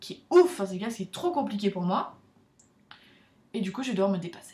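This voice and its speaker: Speaking at a very fast pace, a woman with a medium-pitched, somewhat breathy voice and a dark, mellow tone uses lively intonation and big swings in loudness. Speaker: vlogger, student abroad. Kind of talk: casual vlog talk.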